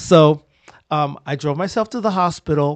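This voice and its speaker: Recorded dry and close with no echo against a quiet background, a man speaks at a fairly high pitch and a moderate pace with ordinary pitch variation. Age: 60s. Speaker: posture specialist. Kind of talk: casual chat. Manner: halting.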